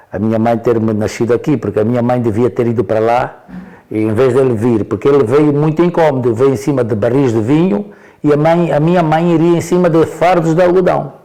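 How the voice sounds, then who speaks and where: A man's dark, mellow voice at a moderate pace, with lively intonation. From Angola, Porto Amboim (Cuanza Sul). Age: 70s. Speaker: elder interviewee. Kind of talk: interview storytelling. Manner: halting, repetitive.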